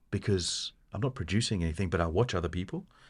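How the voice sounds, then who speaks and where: Speech comes at a fairly quick pace in a somewhat breathy voice. The background is quiet. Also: man. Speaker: podcast co-host. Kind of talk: casual chat.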